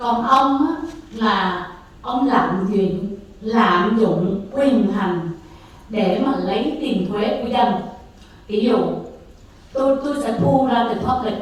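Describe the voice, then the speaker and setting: Speaking very slowly, a woman leaves long, frequent pauses in her fairly high voice, with ordinary pitch variation. Room echo is audible, and background noise is noticeable. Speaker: public commenter at city council. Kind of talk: public comment speech.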